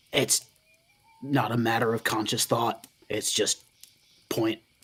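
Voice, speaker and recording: A raspy, put-on character voice speaks at a fairly slow pace with monotone, flat intonation. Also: man, medium pitch for a man. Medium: actual play. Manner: gruff, laconic.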